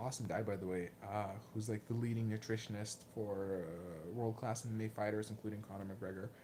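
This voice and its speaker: Moderate pace with a Lithuanian accent. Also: man. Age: 20s. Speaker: martial arts vlogger. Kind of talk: livestream Q&A. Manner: hesitant, many fillers and repeats.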